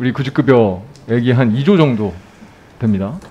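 Using an unremarkable speaking voice, a man talks at a fairly slow pace with lively intonation. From Daejeon, South Korea. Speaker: national assembly member. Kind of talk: parliamentary audit questioning. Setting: parliament committee hall. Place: hall. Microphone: podium.

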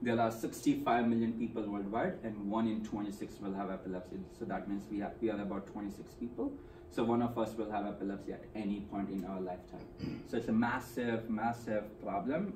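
With noticeable background noise behind him, a man speaks at a moderate pace, keeping a fairly even intonation at a fairly low pitch. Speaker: presenter. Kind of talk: presentation talk. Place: meeting room. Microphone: camera far.

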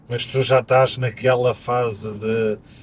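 A man speaks with monotone, flat intonation. Light background noise can be heard. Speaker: podcast host. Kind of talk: interview conversation. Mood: relaxed, friendly. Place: car. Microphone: camera far.

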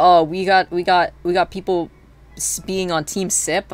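A woman talks with a fairly low pitch. Vocal fry runs through her voice. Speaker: streamer. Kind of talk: casual livestream chat while gaming. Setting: live stream, home recording. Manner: rambling, hesitant with many filler words.

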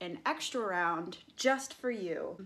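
The woman's tone comes across bright and sharp. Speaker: fitness vlogger. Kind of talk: casual vlog chat. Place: gym. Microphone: phone near.

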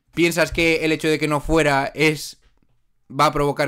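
The background is quiet. A man speaks in an animated tone. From Spain. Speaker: podcast host. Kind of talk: casual chat. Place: home room. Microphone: studio mic.

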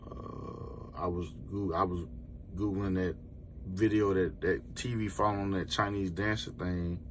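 A man talks in a very deep, low voice at a fairly slow pace. His pitch varies in an ordinary way, with light background noise behind him. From Florida. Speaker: truck driver and YouTuber; YouTuber. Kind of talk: casual vlog. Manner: animated. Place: car. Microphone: phone near.

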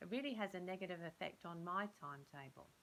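Light background noise sits behind the speech. A woman talks in a fairly low pitch. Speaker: speaker. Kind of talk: scripted role-play dialogue. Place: home room. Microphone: phone near.

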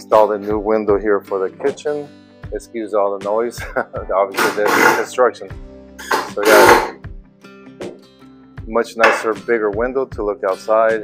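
Over loud background music, a man speaks at a moderate pace with long, frequent pauses. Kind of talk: casual vlog chat. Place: home room. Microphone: phone near.

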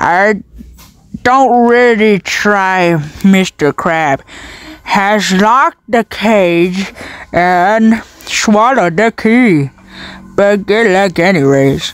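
A female-sounding voice does a put-on character at medium pitch and a very slow pace, with long, frequent pauses. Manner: scheming, mocking.

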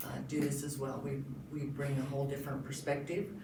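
Both noticeable background noise and audible echo from the room fill the clip. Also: woman. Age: 60s. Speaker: county commissioner candidate. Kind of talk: candidate forum speech.

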